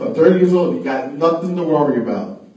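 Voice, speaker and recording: A man talks at a moderate pace with a fairly high pitch. There's noticeable background noise and audible room echo. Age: 50s. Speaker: radio show host. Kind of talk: casual chat. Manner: animated.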